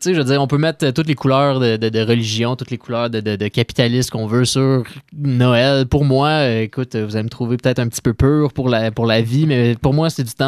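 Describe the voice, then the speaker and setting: A man in a Quebec accent speaks with fairly even intonation. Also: dry, close sound with no echo. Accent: Québécois French. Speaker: radio co-host. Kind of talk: casual chat. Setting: studio. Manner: jovial, laughs often.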